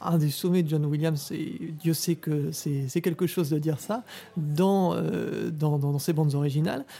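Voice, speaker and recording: The recording is very clean with a silent background, and the speech moves at a fairly slow pace. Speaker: podcast host. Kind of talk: interview. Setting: bistro.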